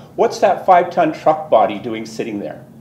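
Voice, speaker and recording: A voice with a Canadian accent carries lively intonation through audible room echo. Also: man. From southern Ontario, Canada. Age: 60s. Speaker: resident delegate at council meeting. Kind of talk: public address to council.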